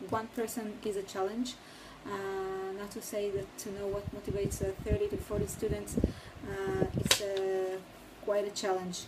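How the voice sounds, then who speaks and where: Medium-pitched female speech, monotone and flat, at a moderate pace with noticeable background noise. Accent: non-native. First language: not English. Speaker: new teacher reflecting on a course. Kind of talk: recorded course reflection. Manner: halting, many pauses and fillers.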